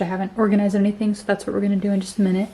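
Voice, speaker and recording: A soft-spoken woman talks at a medium pitch. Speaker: lifestyle vlogger. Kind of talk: casual vlog talk. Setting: at home, bedroom.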